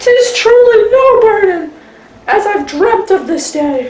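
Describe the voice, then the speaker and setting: A woman puts on a character voice at an extremely high pitch with very wide swings. She goes at a fairly slow pace, with slight echo. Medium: short film. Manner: earnest.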